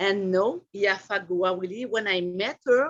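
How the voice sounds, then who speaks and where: Speaking at a fairly slow pace with a French accent, a woman uses a medium pitch and ordinary pitch variation. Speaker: artist and body painting model. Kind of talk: casual chat. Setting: video call. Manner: halting.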